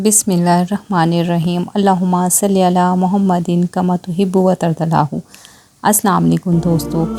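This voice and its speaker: Over music in the background, a woman speaks in a monotone with flat intonation and a fairly low pitch. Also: very even loudness. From Pakistan. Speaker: voice over artist. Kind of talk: religious moral story narration.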